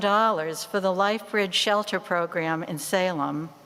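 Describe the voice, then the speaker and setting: The speaker has a Boston accent and talks at a fairly slow pace. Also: woman. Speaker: church member, bell choir ringer. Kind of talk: stewardship talk in church.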